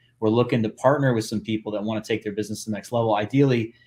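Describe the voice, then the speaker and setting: Over a silent background in a very clean recording, a man at a medium pitch talks at a very fast pace. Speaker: podcast host and business acquisition coach. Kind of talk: casual coaching conversation. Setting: live video podcast. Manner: animated.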